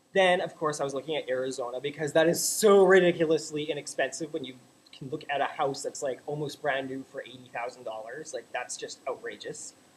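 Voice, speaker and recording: Speaking at a fairly quick pace with a Canadian accent, a man sounds animated, his pitch fairly high. His loudness swings widely, and there is noticeable background noise. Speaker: vlogger. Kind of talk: casual vlog rant. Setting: home webcam recording.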